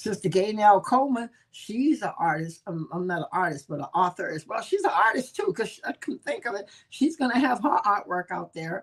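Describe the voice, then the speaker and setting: The speaker has an American accent and very wide pitch swings. The pace is moderate. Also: woman, fairly high pitch for a woman. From New Orleans, Louisiana. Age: 70s. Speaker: evangelist and book reading show host. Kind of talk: casual announcements. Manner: warm, animated.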